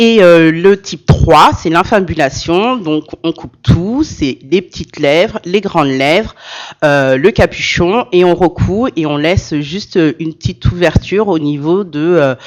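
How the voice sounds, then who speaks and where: Speaking at a fairly slow pace, a woman uses a fairly low pitch with ordinary pitch variation. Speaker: association president and social care manager. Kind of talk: conference talk. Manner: loud, carrying voice; hesitant, many fillers.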